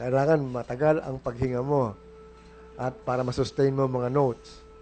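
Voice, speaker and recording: Music plays in the background as a man speaks at medium pitch and a moderate pace with monotone, flat intonation. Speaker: radio host. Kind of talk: casual chat.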